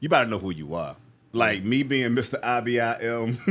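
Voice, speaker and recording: Over a very clean recording with a silent background, a man uses a plain, everyday voice at medium pitch and a moderate pace. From US East Coast. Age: 50s. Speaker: motivational speaker. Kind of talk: podcast interview.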